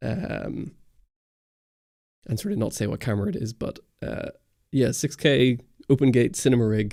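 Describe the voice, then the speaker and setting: The man's voice is somewhat breathy, dark and mellow. His pitch varies in an ordinary way. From Northern Ireland. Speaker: camera YouTuber. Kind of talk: livestream Q&A chat. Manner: casual, hesitant with many fillers.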